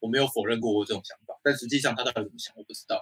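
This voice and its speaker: With a Taiwanese accent, a man talks at a fairly quick pace, the sound dry and close with no echo on a very clean recording with a silent background. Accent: Taiwanese Mandarin. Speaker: podcast co-host. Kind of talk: casual chat. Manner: animated.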